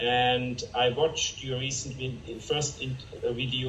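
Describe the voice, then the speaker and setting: A German accent over noticeable background noise. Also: man. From Germany. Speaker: chemist and fine art photographer. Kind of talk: interview.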